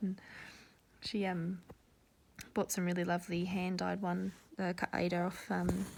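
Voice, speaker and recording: A woman talks with lively intonation at medium pitch. Her voice is somewhat breathy. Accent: Australian. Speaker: cross-stitch vlogger. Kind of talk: casual chat. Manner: rambling, casual with many fillers.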